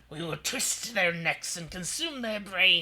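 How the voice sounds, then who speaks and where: A put-on character voice. The pitch sits in the middle range. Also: fairly slow pace. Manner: evil, menacing, laughing evilly.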